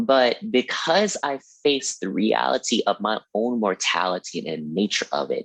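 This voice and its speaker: The speaker is a man talking at a moderate pace. The sound is dry and close, with no echo. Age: 20s. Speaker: hoodoo practitioner. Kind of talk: casual chat. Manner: animated.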